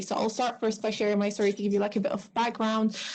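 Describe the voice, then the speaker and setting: Very fast speech from a woman with a fairly high voice and an Arabic accent, against noticeable background noise. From Syria. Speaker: refugee student. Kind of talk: panel testimony.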